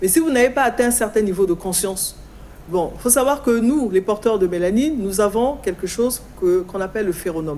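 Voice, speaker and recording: A woman speaks at a moderate pace and a medium pitch. Her intonation is lively, and there is noticeable background noise. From Congo. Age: 60s. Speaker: guest speaking on African culture and spirituality. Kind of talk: talk show interview.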